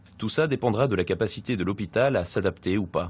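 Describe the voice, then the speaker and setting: Against a quiet background, a man talks at a fairly quick pace with lively intonation. His voice is fairly low in pitch and somewhat breathy. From France. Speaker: deaf medical student. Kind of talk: group discussion.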